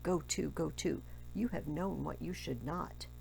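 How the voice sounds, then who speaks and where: A put-on character voice at a moderate pace, with clear background noise. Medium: read story. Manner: measured, grave.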